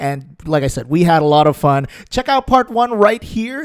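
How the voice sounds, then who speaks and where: A man with an American accent, high-pitched, with very wide pitch swings, a moderate pace, and a dry, close sound with no echo. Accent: almost American English. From Philippines, Visayas. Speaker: gaming YouTuber. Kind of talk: video intro then interview.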